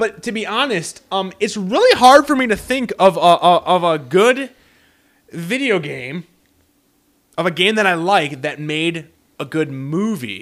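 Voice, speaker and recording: With an animated tone, a man speaks at high pitch with very wide pitch swings. His pace is fairly slow. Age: 30s. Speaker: video game podcast host. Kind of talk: casual chat.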